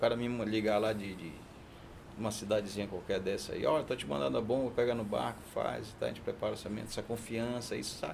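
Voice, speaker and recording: A man's fairly low voice at a very fast pace, with ordinary pitch variation and audible room echo. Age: 60s. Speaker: diesel mechanic, business owner. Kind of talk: casual chat.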